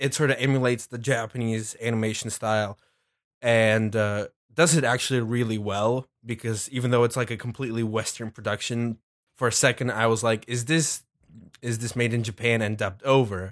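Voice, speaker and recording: A plain, everyday voice comes at a moderate pace with fairly even intonation on a very clean recording with a silent background. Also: man. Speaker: podcast co-host. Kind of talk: casual chat.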